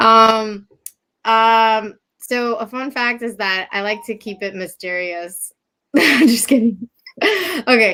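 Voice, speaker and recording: On a very clean recording with a silent background, a woman speaks very slowly in a fairly high, bright, sharp voice, with ordinary pitch variation and big swings in loudness. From New Jersey. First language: Japanese. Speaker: realtor. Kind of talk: live show interview.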